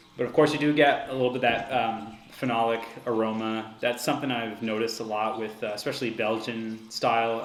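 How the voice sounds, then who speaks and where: A man at medium pitch, flat and monotone, at a moderate pace, with audible room echo and noticeable background noise. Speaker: homebrewer reviewing own beer. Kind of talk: casual solo review. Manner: hesitant, many fillers; loud.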